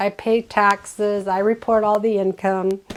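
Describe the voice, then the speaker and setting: This woman's voice sits fairly high in pitch. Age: 60s. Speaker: lifestyle vlogger. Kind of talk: casual chat. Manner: rambling, halting with fillers.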